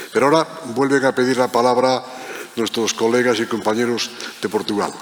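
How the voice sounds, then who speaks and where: A man speaks at a fairly quick pace in a medium pitch, his intonation monotone and flat. His loudness stays very even, with noticeable background noise behind him. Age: 70s. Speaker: protocol professional, panel moderator. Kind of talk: panel discussion.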